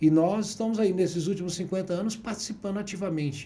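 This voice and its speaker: Audible room echo surrounds a man whose high-pitched voice has a dark, mellow tone and ordinary pitch variation. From city of Goiás, Brazil. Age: 60s. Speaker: businessman and politician. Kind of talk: interview.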